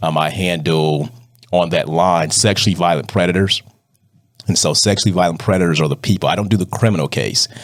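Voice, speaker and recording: A man with a very deep, low pitch talks at a fairly quick pace with ordinary pitch variation. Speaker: probate judge. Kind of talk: interview. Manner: fast.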